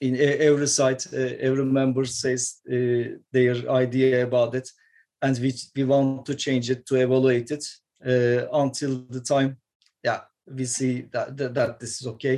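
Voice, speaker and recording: With a Turkish accent, a man speaks fairly slowly in a medium pitch, his tone dark and mellow and his intonation flat and monotone. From Turkey, Istanbul. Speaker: metal guitarist. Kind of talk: interview. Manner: halting.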